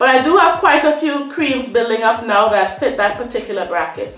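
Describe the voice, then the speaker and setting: A woman talks at a fairly quick pace in a high pitch, with audible room echo around her voice. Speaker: hair product reviewer. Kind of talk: casual vlog chat. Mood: relaxed, chatty. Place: home room. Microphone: phone near.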